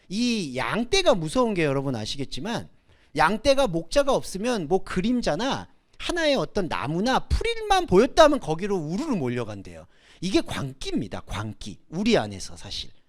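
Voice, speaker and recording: A moderately paced male voice on a very clean recording, the background silent. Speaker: preacher. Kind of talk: sermon. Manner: halting over Greek words.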